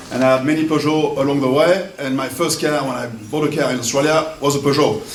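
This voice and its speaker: A man with a French accent talks at a very fast pace in a fairly high pitch for a man, his intonation fairly even. Noticeable background noise and audible room echo surround him. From France. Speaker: wine importer. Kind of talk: event speech.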